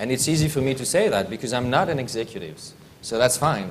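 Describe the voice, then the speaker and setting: Audible room echo carries a man's medium-pitched voice as he talks at a fairly quick pace with lively intonation. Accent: French. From France. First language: French. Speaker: aerospace industry professional, panelist. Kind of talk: conference panel talk.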